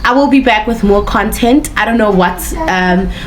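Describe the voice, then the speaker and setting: A woman's medium-pitched voice with a non-native accent, at a moderate pace and with ordinary pitch variation, amid audible room echo and noticeable background noise. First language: not English. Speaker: relationship advice vlogger. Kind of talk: casual monologue vlog. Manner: halting, frequent self-corrections.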